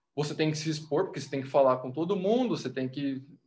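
A man talks in a fairly high pitch. His voice is somewhat breathy. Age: 20s. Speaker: podcast guest, motivational content creator. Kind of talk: casual chat.

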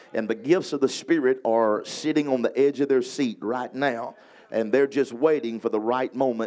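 A man with a Louisiana accent speaks in an energetic tone. His pitch is medium and his pace moderate. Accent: Louisiana, Southern US. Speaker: evangelist preaching a sermon. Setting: church revival service. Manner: energetic, emphatic preaching with call-and-response.

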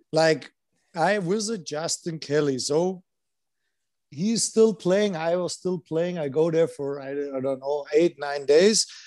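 The voice has a dark, mellow tone and a German accent. The pace is fairly slow. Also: man, fairly high pitch for a man, ordinary pitch variation. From Germany, Landshut. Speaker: former pro hockey player. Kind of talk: casual chat. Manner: halting.

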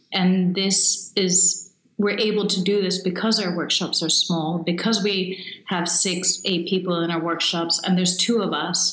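A woman speaks in a monotone with flat intonation, and room echo is audible. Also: medium pitch for a woman, fairly slow pace. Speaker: photographer and photography coach. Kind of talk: casual interview. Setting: video call. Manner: talkative.

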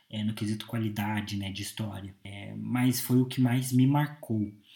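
A man speaks at a moderate pace. His tone is dark and mellow and somewhat breathy. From Brazil, Curitiba. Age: 20s. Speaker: podcast host. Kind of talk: solo monologue. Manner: hesitant, many filler 'é'.

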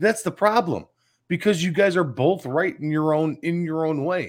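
On a very clean recording with a silent background, a man with a Chicago accent speaks in an animated tone. His pitch is fairly high and his pace moderate. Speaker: sports radio co-host. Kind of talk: sports talk show.

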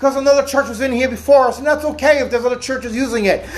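Someone is shouting loudly over noticeable background noise. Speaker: pastor. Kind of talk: sermon. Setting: church without a microphone. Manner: loud, yelling. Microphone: no microphone, speaking unamplified.

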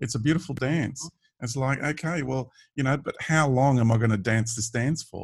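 A man's medium-pitched, somewhat breathy voice in an Australian accent, at a moderate pace. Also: ordinary pitch variation. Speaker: podcast host. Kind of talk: casual chat. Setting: video call.

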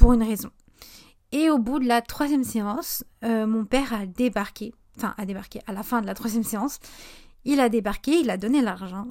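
A woman's fairly high voice with a dark, mellow tone, ordinary pitch variation, moderate pace and long, frequent pauses, in a very clean recording with a silent background. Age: 20s. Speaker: podcast host and small business owner. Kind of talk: casual solo podcast monologue.

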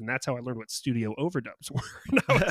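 In a dry, close sound with no echo, a man with an unremarkable speaking voice and a medium pitch talks at a fairly quick pace. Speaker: event organizer. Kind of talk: casual chat.

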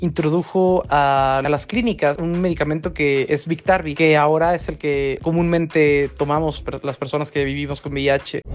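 Speaking at a moderate pace with hardly any pauses, a man with an unremarkable speaking voice and fairly high pitch shows ordinary pitch variation. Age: 20s. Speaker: person living with HIV sharing experience. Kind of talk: interview testimony.

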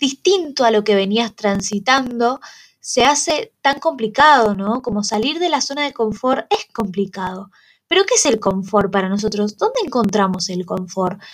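Somewhat breathy, a woman with a fairly high pitch talks at a moderate pace with lively intonation. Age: 20s. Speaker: student podcaster. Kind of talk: casual monologue.

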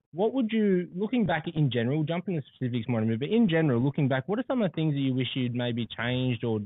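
Speaking at a very fast pace, a man with an Australian accent uses lively intonation. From Australia, West or Central Coast. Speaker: podcast host, financial advisor. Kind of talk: casual interview. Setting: podcast room in a hotel.

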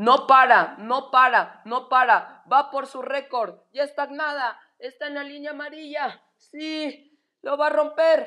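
A woman speaks very slowly in a raised, projected voice with a high pitch and a bright, sharp tone. Her loudness swings widely from moment to moment. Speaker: sports commentator. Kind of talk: live sports commentary on a swimming race. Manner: animated, excitable, building up as the race goes on; repetitive, halting, restarting phrases.

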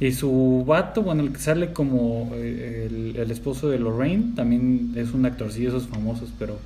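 There is audible room echo as a man talks at a fairly slow pace with hardly any pauses. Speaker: podcast co-host. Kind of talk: casual chat.

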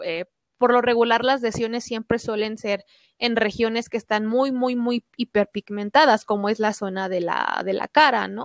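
A woman with a normal speaking voice, fairly high in pitch, talks at a moderate pace with fairly even intonation in a dry, close sound with no echo. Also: very clean recording, silent background. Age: 20s. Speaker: doctor. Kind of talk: interview.

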